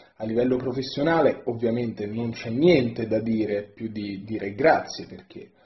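Audible room echo surrounds a somewhat breathy voice. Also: man. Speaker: storyteller. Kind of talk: testimonial message to camera. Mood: warm, grateful. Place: home room. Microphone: phone near.

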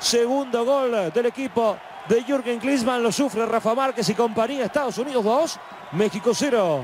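A man speaks at an extremely high pitch with very even loudness and ordinary pitch variation. His pace is moderate over noticeable background noise. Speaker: football commentator. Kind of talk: live sports commentary. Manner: animated, excitable.

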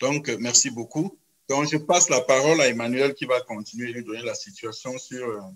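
A man speaks with lively intonation. The background around him is quiet. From Cameroon. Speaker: epidemiology professor and co-moderator; epidemiology professor, co-moderator. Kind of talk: moderated webinar. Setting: video call. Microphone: video call.

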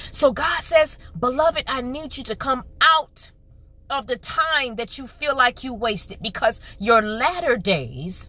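In a raised, projected voice with a bright, sharp tone, a woman speaks very slowly at a high pitch, the sound dry with no echo. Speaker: channel host. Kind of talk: prophetic sermon delivery. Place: car. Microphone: phone near.

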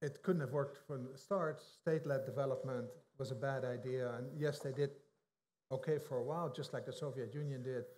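A man with a Dutch accent talks at a fairly quick pace. His voice is fairly high in pitch and somewhat breathy. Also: fairly even intonation. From Netherlands. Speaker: economist. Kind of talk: interview. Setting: stage with audience. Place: hall.

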